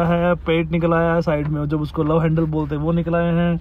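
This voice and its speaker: The man's voice is high-pitched, with a dry sound and no echo. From Haryana, India. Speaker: vlogger. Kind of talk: casual talk to camera. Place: car. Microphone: phone near.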